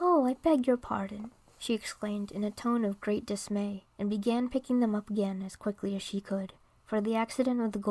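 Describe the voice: The recording consists of plain reading aloud.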